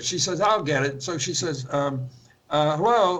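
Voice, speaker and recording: A man's fairly high voice with an American accent and lively intonation, plus audible room echo. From central Pennsylvania. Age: 80s+. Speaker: author and spiritual teacher. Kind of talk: interview. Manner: halting.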